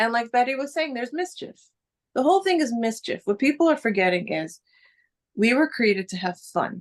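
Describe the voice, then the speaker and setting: A woman with a New York accent talks at a fairly quick pace in an animated tone, her pitch swinging very widely. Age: old. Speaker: spiritual teacher. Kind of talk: casual chat. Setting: video call.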